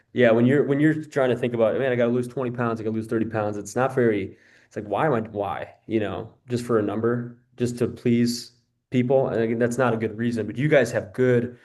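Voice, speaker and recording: With a plain, everyday voice, a man talks at a fairly quick pace and medium pitch with fairly even intonation, against a quiet background. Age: 20s. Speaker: fitness coach. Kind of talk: group video call coaching session.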